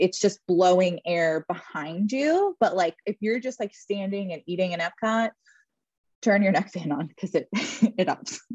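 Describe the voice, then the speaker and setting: A woman's somewhat breathy voice at medium pitch, with an American accent, moderate pace, ordinary pitch variation and a dry, close sound with no echo. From Philadelphia. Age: 30s. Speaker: podcast co-host. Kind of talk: casual chat.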